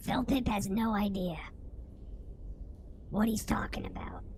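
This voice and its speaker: A female-sounding, put-on character voice speaks at a medium pitch and moderate pace. Clear background noise is audible. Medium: actual play.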